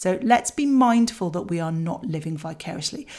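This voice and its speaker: A woman speaks with a British accent and a fairly low pitch. Her voice is somewhat breathy, and her intonation is lively. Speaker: parenting podcast host. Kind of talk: scripted solo podcast talk. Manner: chatty, conversational.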